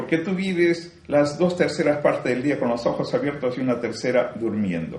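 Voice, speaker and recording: Somewhat breathy and fairly high-pitched, a man talks at a moderate pace with lively intonation and hardly any pauses, and audible room echo surrounds his voice. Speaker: spiritual teacher. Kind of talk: spiritual talk.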